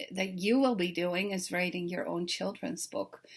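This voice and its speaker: A woman speaking at a fairly slow pace, with ordinary pitch variation. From Netherlands. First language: Dutch. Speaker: children's author. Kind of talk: recorded talk to teachers. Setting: self-recorded video. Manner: friendly, conversational with fillers.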